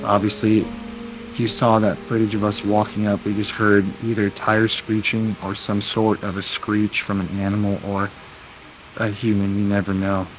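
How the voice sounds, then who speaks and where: Quiet and monotone, a man speaks with flat intonation at a fairly low pitch over noticeable background noise. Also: moderate pace. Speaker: paranormal investigator vlogger. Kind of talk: on-location ghost hunt vlog. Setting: outdoors in park at night. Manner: quiet, lowered voice.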